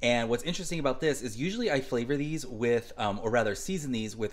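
This man talks. His pace is very fast. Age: 40s. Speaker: family vlogger. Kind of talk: casual chat. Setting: at home. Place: kitchen. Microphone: phone near.

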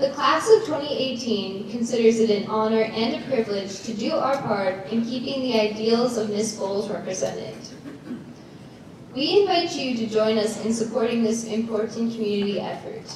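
Strong room echo and noticeable background noise surround speech at a moderate pace with ordinary pitch variation. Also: woman. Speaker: presenter. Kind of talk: formal announcement read from cards. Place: stage.

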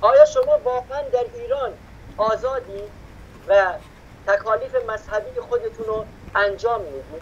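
Over light background noise, a man speaks at a fairly slow pace with long, frequent pauses and big swings in loudness. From Iran. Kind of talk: impassioned commentary. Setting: remote video call from Germany. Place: home room. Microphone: video call.

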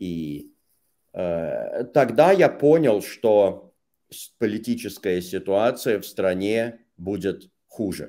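Against a quiet background, a man's fairly low voice has a dark, mellow tone and lively intonation. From Russia, St Petersburg; Russia. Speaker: Russian language teacher; interview guest. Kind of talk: casual interview. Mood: calm, reflective, serious. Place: home room.

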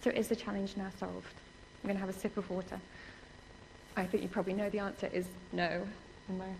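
A woman's very fast speech broken by long, frequent pauses, over light background noise. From England. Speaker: research computing security specialist; conference speaker. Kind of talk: conference lecture. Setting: stage with audience. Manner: fast talker; animated. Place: hall.

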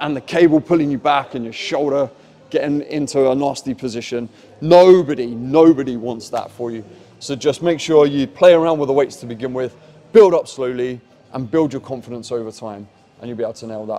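Big swings in loudness run through a man's fairly quick speech with ordinary pitch variation. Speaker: fitness coach. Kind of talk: tutorial. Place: gym. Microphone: lapel.

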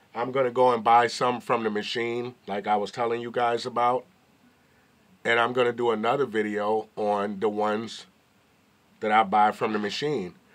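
Speaking at a moderate pace, a man with an American accent has a medium pitch and monotone, flat intonation. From New York. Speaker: YouTuber. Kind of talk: casual vlog commentary. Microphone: phone near.

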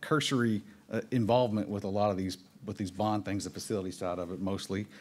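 A very fast, fairly low-pitched man's voice with a Texas Panhandle accent. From Texas Panhandle, Amarillo. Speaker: city government official; presenter. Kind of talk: public presentation at town hall. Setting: town hall meeting. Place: meeting room. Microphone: podium.

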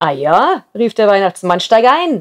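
Her warm, gentle tone moves through very wide pitch swings, as a woman speaks in a dry, close sound with no echo. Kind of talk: storytelling, reading a fairy tale aloud. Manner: warm, gentle, unhurried narration.

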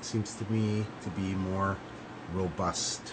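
A man talks while noticeable background noise can be heard. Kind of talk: casual vlog chat. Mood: pleased, lightly joking. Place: studio. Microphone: phone near.

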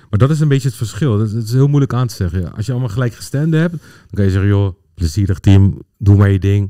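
Over a quiet background, the voice has a dark, mellow tone and a dry sound with no echo. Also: man. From Netherlands, Pakistani family. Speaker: football data analyst, former coach. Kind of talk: casual chat. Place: studio. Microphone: studio mic.

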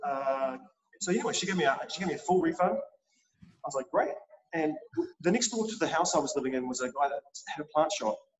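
The speaker has a New Zealand accent and lively intonation. The pace is fairly quick. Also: man, high pitch for a man. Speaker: chef and culinary instructor. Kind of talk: interview. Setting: in a kitchen. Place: kitchen. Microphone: video call.

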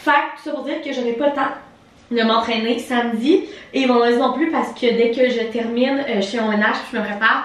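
A woman with a high-pitched voice and fairly even intonation speaks at a moderate pace, with audible room echo. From Quebec. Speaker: lifestyle vlogger. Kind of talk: casual vlog monologue.

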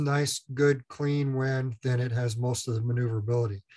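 At a moderate pace, a man speaks with fairly even intonation against a quiet background. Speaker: instructor. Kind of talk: lecture.

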